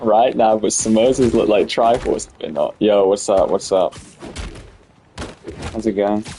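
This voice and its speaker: Speaking with a British accent, a man delivers his words in an animated tone at a fairly slow pace, with long, frequent pauses. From UK. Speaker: gaming live streamer. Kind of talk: live stream chat while gaming. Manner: casual, animated.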